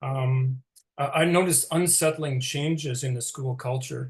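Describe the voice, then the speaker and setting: Somewhat breathy and fairly high-pitched, a man talks at a moderate pace with fairly even intonation. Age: 60s. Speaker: retired teacher. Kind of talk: interview presentation. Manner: halting.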